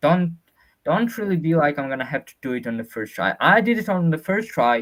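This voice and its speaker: At a moderate pace, a man speaks high with very wide pitch swings. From Georgia (country). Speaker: student sharing test experience. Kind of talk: webinar Q&A. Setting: online webinar. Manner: halting, many fillers and restarts.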